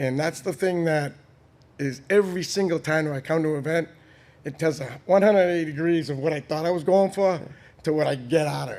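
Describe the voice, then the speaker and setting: Speaking with an American accent, a man keeps a fairly quick pace and a fairly high pitch with ordinary pitch variation. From Boston, Massachusetts. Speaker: entrepreneur. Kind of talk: interview conversation.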